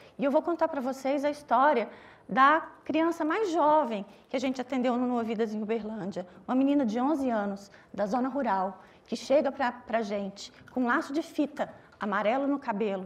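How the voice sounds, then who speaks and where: Lively intonation runs through a woman's speech. Her voice sits at a high pitch. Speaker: doctor at a legal abortion service, panelist. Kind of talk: panel talk.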